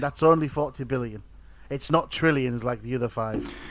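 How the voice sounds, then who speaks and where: A man with a plain, everyday voice speaks at medium pitch with fairly even intonation on a very clean recording with a silent background. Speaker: co-host. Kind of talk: casual group chat.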